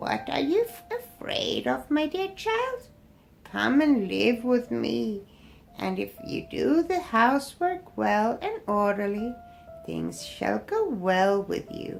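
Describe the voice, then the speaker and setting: A woman speaks at a fairly slow pace in a put-on character voice, with faint music in the background. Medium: read story. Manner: kind, gentle.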